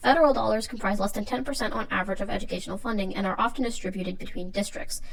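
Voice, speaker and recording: A woman speaks at a very fast pace. Her pitch is fairly high, with ordinary pitch variation. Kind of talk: educational video essay narration.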